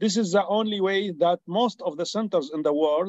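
Against a quiet background with a dry, echo-free sound, a man with an Arabic accent talks at a moderate pace with ordinary pitch variation. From Syria. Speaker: neurosurgeon. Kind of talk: Q&A comment in webinar; discussion question and comment in webinar. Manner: halting. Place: home room. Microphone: video call.

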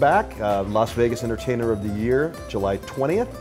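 Clear music plays in the background. Over it, a man speaks at a moderate pace in a fairly low pitch. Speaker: guest. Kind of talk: interview answer. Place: bar.

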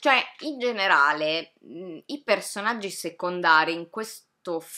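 A woman speaks very slowly in a fairly low voice, her intonation lively against a quiet background. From Italy. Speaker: video reviewer. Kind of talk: casual vlog review rant. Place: home room.

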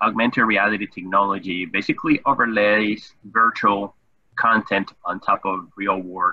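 A man talks at a moderate pace with fairly even intonation and an unremarkable speaking voice. The sound is dry with no echo, over a quiet background. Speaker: webinar host. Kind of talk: guest introduction. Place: home room. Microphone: webcam.

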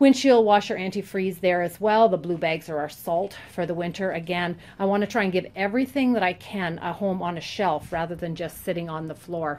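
A woman's plain, everyday voice, fairly low in pitch, with ordinary pitch variation, a fairly quick pace and hardly any pauses. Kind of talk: tutorial walkthrough. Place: garage. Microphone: phone near.

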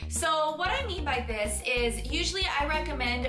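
A woman talks at a fairly slow pace over clear music in the background. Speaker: fitness coach. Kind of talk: tutorial vlog talk. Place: home room.

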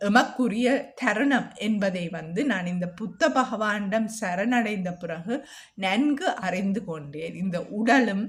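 Speaking with a Jaffna accent, a woman has a medium pitch, a somewhat breathy quality and ordinary pitch variation. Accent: Jaffna Sri Lankan Tamil. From Sri Lanka, Jaffna. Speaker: video blogger sharing meditation experience. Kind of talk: personal testimony monologue.

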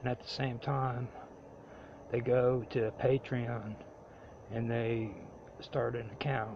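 Very slowly and with long, frequent pauses, a man speaks at a medium pitch in a somewhat breathy, monotone, flat voice. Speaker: amateur political commentary vlogger. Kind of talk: casual monologue. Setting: recording on an iPad. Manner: halting, many fillers.

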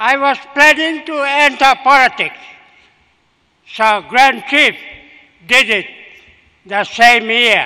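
A man's raised, projected voice at an extremely high pitch, very slow pace with long, frequent pauses and ordinary pitch variation, over a quiet background. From Papua New Guinea, Oro province; Papua New Guinea. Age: 80s+. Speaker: retired politician. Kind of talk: memorial speech. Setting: memorial gathering. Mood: reflective, respectful. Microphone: podium.

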